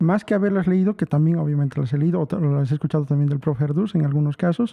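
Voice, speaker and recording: In a La Paz accent, a man speaks very fast with ordinary pitch variation. His loudness stays very even. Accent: La Paz Bolivian accent, noticeable. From Bolivia, La Paz. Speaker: musician and music teacher giving a talk. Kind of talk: online lecture. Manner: halting, many fillers.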